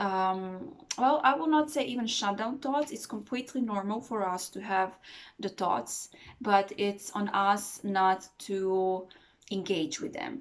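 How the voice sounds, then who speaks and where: Calm in tone yet lively in intonation, a woman speaks at a fairly slow pace. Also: medium pitch for a woman. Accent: non-native. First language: not English. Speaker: meditation teacher. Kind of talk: tutorial. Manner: hesitant, many fillers.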